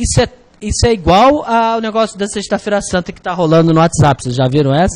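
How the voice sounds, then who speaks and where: Animated in tone, the speaker uses very wide pitch swings in a Rio de Janeiro accent. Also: man. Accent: carioca. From Rio de Janeiro, Brazil. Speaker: exam prep teacher. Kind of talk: online lecture.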